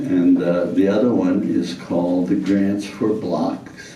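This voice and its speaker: Noticeable background noise is present, along with audible room echo. Through it, a man speaks fairly slowly. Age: 80s+. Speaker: community development scholar. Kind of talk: talk to an audience. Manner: halting, with repeated words and fillers.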